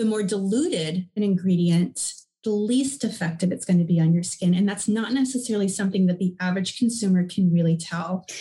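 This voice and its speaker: A woman with a medium pitch and a dark, mellow, somewhat breathy tone talks at a fairly quick pace with ordinary pitch variation and hardly any pauses. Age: 40s. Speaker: skincare company co-founder. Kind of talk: interview.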